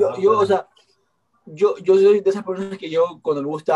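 A man's fairly high-pitched voice with lively intonation, music in the background. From Ecuador. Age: 20s. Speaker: TikToker. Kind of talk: casual chat. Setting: video call.

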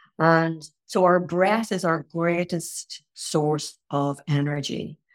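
A woman talks with an Irish accent. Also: very clean recording, silent background. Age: 60s. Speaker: tai chi and qigong teacher. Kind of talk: casual chat.

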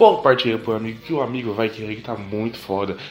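A man speaks over noticeable background noise. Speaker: podcast host. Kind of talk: casual chat; ad read. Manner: animated.

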